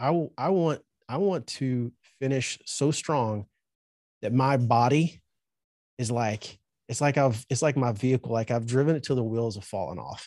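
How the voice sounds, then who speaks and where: A man with a Southern US accent speaks at a fairly slow pace in a medium pitch, his dark, mellow tone carrying ordinary pitch variation in a dry, close recording with no echo and a quiet background. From Alabama, US South. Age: 40s. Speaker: trade school owner. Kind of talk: interview.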